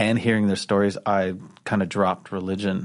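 A man's fairly low voice, fairly quick and flat in a monotone, over a quiet background. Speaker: poet and comedian. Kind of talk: casual chat. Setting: studio.

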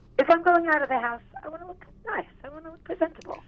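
A husky woman with an extremely high voice speaks at a fast pace with ordinary pitch variation.

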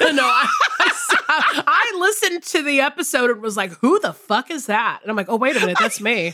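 A woman's high-pitched, raised, projected voice at a fairly quick pace, with very wide pitch swings and noticeable background noise. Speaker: podcast co-host. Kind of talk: casual chat. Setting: studio.

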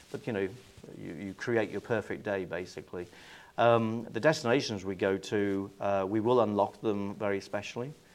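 A man speaks at a moderate pace with an English accent. His pitch is fairly low for a man, with ordinary pitch variation. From England. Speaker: cruise line sales executive. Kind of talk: interview. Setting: industry event.

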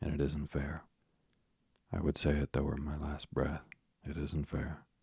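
A raspy put-on character voice at a moderate pace, delivered in a monotone, flat intonation. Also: man, very deep, low pitch for a man. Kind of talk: bedtime story reading. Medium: read story. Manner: blustering, sarcastic, self-pitying.

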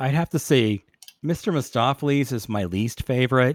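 Recorded very cleanly against a silent background, a man with a medium pitch and lively intonation sounds dry and close, with no echo. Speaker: podcast host. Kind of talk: casual interview chat.

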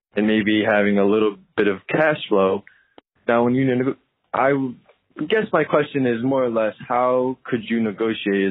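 Moderately paced, a man with an American accent talks in an unremarkable speaking voice. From Connecticut. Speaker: aspiring investor, listener voicemail. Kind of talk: voicemail question. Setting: phone voicemail.

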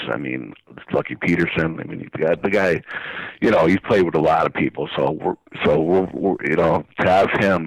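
With noticeable background noise but a dry, close sound free of echo, a man speaks at a very deep, low pitch with ordinary pitch variation. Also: moderate pace. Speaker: blues harmonica showcase promoter. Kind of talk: radio interview, promoting event. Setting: phone call. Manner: enthusiastic, casual.

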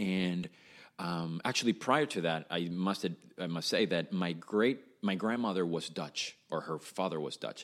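Delivered with a Spanish accent, the speech moves at a fairly slow pace with ordinary pitch variation. The recording is very clean, with a silent background. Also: man, very deep, low pitch for a man. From Venezuela, Caracas. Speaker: musician, drummer. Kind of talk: casual chat.

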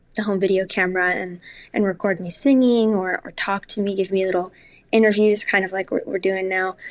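A woman speaks in a normal speaking voice at a medium pitch. Her intonation is fairly even, and the background is quiet. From New York City. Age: 20s. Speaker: actress. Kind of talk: casual chat. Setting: at home.

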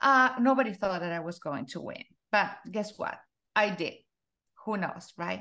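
A woman's medium-pitched voice with a Spanish accent, bright and sharp in tone, lively in intonation, at a moderate pace broken by long, frequent pauses. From Argentina. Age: 40s. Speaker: life coach. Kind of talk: interview.

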